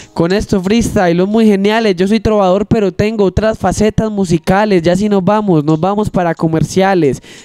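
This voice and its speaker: A man talks at a moderate pace in a high voice with fairly even intonation. His loudness stays very even, and the sound is dry with no echo. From Marinilla, Antioquia, Colombia; Antioquia, Colombia. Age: 20s. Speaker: trova singer and freestyle rapper; guest. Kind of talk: casual interview; improvised rhymed verse. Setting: studio. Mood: humorous storytelling. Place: studio. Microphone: handheld.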